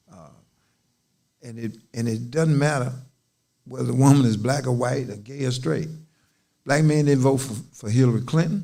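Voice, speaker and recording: The speech moves at a moderate pace, with long, frequent pauses and ordinary pitch variation. The tone is dark and mellow, loudness swings a lot, and room echo is audible. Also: man, medium pitch for a man. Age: 70s. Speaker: civil rights leader. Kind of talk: casual chat. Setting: livestream.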